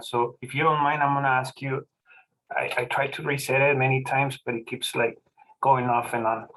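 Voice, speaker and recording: Speaking with a Spanish accent, a man with a fairly high pitch moves at a fairly quick pace. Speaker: forum moderator, insurance agent. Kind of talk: moderating a forum. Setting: video call.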